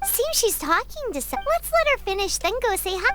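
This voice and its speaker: Over clear background noise, a squeaky, extremely high-pitched put-on character voice moves at a moderate pace. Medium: video game. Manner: wry, sarcastic.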